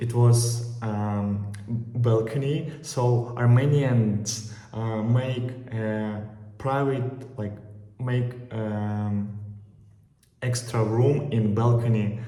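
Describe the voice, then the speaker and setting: A man with a Russian accent speaks very slowly in monotone, flat intonation. Noticeable background noise is present. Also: medium pitch for a man. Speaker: travel vlogger. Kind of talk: casual talk to camera. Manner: hesitant, many filler pauses.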